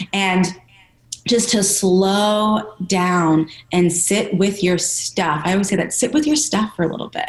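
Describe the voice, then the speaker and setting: A woman at a medium pitch amid noticeable background noise. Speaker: personal trainer. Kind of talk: interview. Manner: fast.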